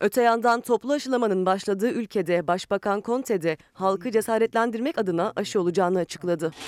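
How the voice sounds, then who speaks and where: A very fast pace with hardly any pauses. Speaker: news reporter. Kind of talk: news reading.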